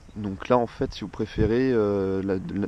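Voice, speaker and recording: A man with a fairly low voice. His tone is dark and mellow. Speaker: motorcycle owner. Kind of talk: casual product presentation to camera. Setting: outdoors. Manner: hesitant, many fillers.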